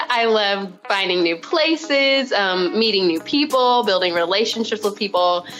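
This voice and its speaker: A woman speaks with an Arkansas accent and lively intonation. There is noticeable background noise. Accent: Southern US (Arkansas). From US South, Arkansas. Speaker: teacher and missions guest. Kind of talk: interview. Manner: casual, filler-heavy.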